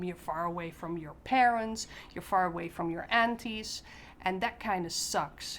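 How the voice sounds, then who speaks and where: Fairly even intonation and a fairly slow pace mark this speech in a Dutch accent. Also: woman. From Netherlands. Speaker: expat parent. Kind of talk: casual talk to camera.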